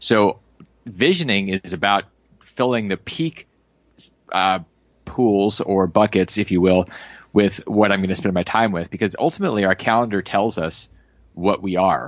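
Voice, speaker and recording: Long, frequent pauses break up a man's speech at a moderate pace. His fairly low pitch moves with ordinary variation. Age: 40s. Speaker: entrepreneur. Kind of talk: casual chat.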